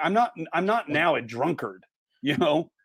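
A man with an American accent talks at a moderate pace with ordinary pitch variation in a plain, everyday voice, on a very clean recording with a silent background. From Indiana. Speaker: pastor. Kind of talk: casual chat.

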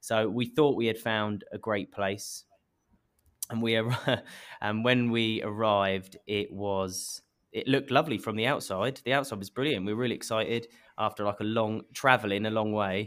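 Using an English accent, a medium-pitched man talks at a moderate pace with fairly even intonation. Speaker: marketing head of a beauty company. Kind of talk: interview.

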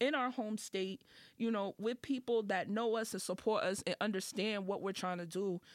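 In a very clean recording with a silent background, a woman with a fairly high pitch speaks with an American accent. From Boston, Dorchester. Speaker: rapper. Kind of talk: casual podcast interview.

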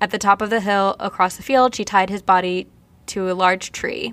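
In a very clean recording with a silent background, a woman with an American accent talks at a fairly quick pace and medium pitch. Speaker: podcast co-host. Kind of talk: casual chat. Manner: mumbles and slurs words.

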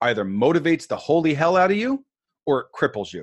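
Against a quiet background, a man with an American accent talks in an energetic tone at a fairly high pitch and a fairly quick pace. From New York. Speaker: author. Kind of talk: interview.

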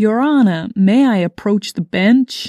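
In a put-on character voice with an American accent, a female-sounding speaker talks fairly slowly at a fairly high pitch. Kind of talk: formal courtroom. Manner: exaggerated, put-on.

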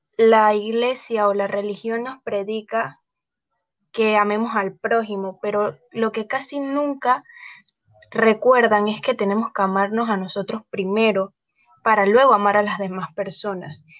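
Using an ordinary speaking voice, a woman talks at a fairly slow pace with a fairly high pitch and fairly even intonation. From Panama. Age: 20s. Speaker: model. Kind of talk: interview.

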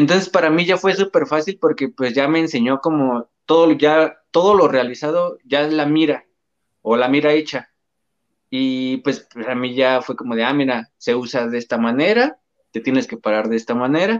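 With a normal speaking voice, a man talks at a moderate pace in a fairly high pitch, his intonation lively and the sound dry and close with no echo. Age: 20s. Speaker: paralympic archer. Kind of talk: interview.

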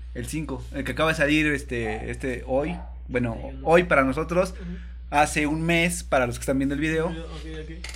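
A man with a Mexican accent talks at a fairly quick pace with big swings in loudness. There is audible room echo and noticeable background noise. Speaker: podcast host. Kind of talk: casual chat.

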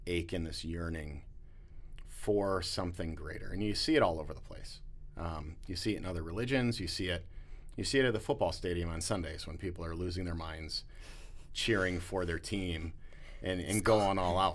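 A man talks at a moderate pace in a very deep, low pitch with ordinary pitch variation. Audible room echo surrounds his voice. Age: 40s. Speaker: pastor. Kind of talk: casual interview.

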